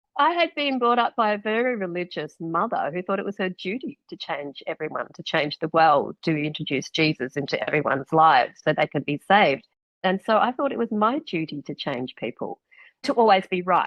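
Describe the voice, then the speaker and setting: An Australian accent marks this woman's fairly quick speech. Her medium-pitched voice swings very widely in pitch. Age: 60s. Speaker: author and former radio presenter. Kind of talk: interview conversation.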